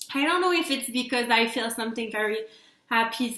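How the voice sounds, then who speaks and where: This woman has a fairly high pitch. She speaks in a Quebec French accent. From Quebec, Canada. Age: 20s. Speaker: PR company owner. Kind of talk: casual talk to camera.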